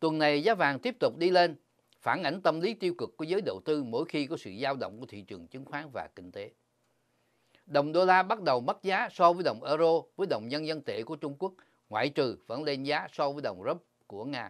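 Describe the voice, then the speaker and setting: On a very clean recording with a silent background, a man with a normal speaking voice and fairly high pitch talks at a fairly quick pace, his intonation lively and his loudness swinging widely. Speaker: financial news presenter. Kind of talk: news reading. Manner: formal.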